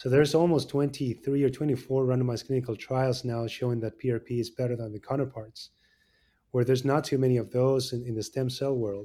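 A man's dark, mellow voice at a medium pitch, monotone and flat, at a very fast pace, on a very clean recording with a silent background. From Argentina. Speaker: orthopedic surgeon. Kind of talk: interview.

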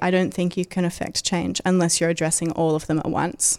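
In an Australian accent, a woman speaks at a moderate pace in a fairly low, monotone, flat voice, captured on a very clean recording with a silent background. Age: 20s. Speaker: animal rights activist and author. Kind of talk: interview conversation.

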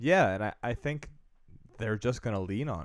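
A normal speaking voice from a man, fairly low in pitch, at a moderate pace with ordinary pitch variation. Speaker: sports podcast host. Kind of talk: casual chat. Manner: laughs often, banter.

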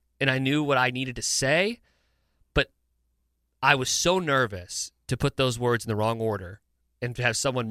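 In a very clean recording with a silent background and a dry, close sound with no echo, a man with an American accent speaks at a medium pitch in a bright, sharp tone with ordinary pitch variation. He moves at a fairly quick pace but takes long, frequent pauses. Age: 20s. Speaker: sports talk radio host. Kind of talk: casual chat.

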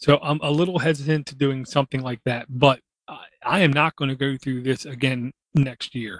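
A man speaks in an unremarkable speaking voice at a moderate pace, with big swings in loudness. The sound is dry and close, with no echo. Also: fairly high pitch for a man. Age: 40s. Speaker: podcast host. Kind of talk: casual chat.

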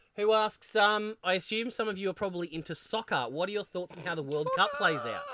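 Hardly pausing, a man with an Australian accent talks at a fairly quick pace in a raised, projected voice, high in pitch and lively in intonation. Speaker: podcast co-host. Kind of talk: casual chat.

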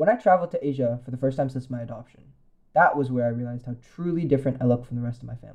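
A man speaks at a very fast pace with a Californian accent, his voice somewhat breathy and medium in pitch. His loudness swings a lot while his pitch varies in an ordinary way. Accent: General American (Californian). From US West Coast (San Francisco Bay Area). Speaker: commentary essayist. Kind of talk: personal essay read aloud.

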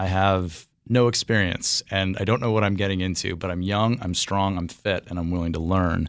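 A man with an American accent speaks at a fairly quick pace in a very deep, low voice. The recording is very clean, with a silent background. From Washington D.C. area (northern Virginia). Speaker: winemaker. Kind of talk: interview.

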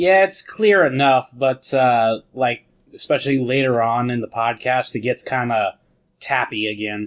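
A man talks at a fairly slow pace. His voice is medium-pitched and an unremarkable speaking voice. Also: ordinary pitch variation. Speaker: podcast host. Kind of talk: casual chat. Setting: video call.

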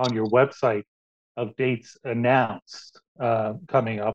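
A man speaks in a normal speaking voice at a moderate pace, his intonation fairly even. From Canada. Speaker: podcast host. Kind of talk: casual interview.

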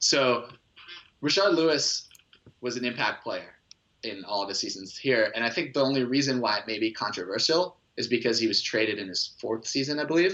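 This man has a plain, everyday voice at a medium pitch. He speaks at a fairly quick pace with lively intonation. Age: 20s. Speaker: sports blog contributor. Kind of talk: casual chat.

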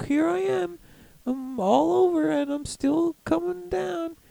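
A put-on character voice at a middle pitch, moving at a fairly slow pace with very wide pitch swings. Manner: playful, personified.

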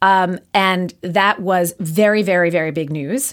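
Over a very clean recording with a silent background, a woman speaks at a fairly slow pace in a medium pitch with fairly even intonation. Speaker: journalist. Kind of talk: interview on a podcast. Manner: halting, many fillers.

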